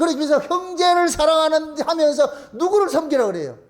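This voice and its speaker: A loud voice at a fairly quick pace with fairly even intonation. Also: man. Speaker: pastor. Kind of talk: sermon. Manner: fast.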